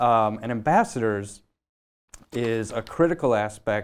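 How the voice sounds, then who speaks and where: The speaker has an Upper Midwest accent on a very clean recording with a silent background. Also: man. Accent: Upper Midwest American. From Michigan, US Midwest. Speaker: nonprofit program manager. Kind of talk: interview.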